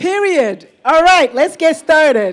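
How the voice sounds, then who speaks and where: Animated and high-pitched, a woman with a Nigerian accent talks at a fairly slow pace, her pitch swinging very widely. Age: 50s. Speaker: physician and medical professor, keynote speaker. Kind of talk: conference keynote talk. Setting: stage with audience.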